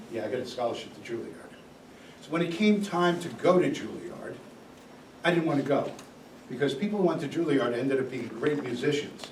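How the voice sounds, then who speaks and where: Talking at a fairly quick pace with long, frequent pauses, a man with a fairly high pitch uses lively intonation and big swings in loudness. There's audible room echo and noticeable background noise. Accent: American. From New York City. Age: 70s. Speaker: guest speaker, former musician. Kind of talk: talk to college class.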